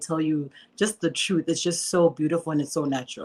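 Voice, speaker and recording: A woman's fairly low voice with a Zimbabwean accent, very fast and with fairly even intonation. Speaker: filmmaker. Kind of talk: interview.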